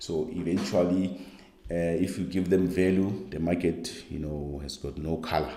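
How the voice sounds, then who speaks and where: The voice has a dark, mellow tone with vocal fry and fairly even intonation. Room echo is audible. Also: man, very deep, low pitch for a man, moderate pace. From South Africa. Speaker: skills coach. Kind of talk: online course lecture. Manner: halting, with many fillers.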